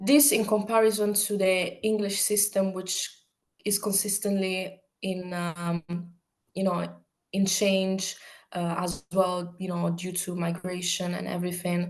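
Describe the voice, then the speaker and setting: In an Italian accent, a woman talks fairly slowly with a monotone, flat intonation. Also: medium pitch for a woman. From Italy. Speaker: university student. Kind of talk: interview. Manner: hesitant, many fillers.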